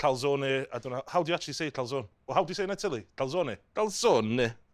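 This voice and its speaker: A man with a Welsh accent speaks at a fairly high pitch. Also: very clean recording, silent background. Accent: Welsh, noticeable. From North Wales, Caernarfon. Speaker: chef. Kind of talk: cooking tutorial. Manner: animated.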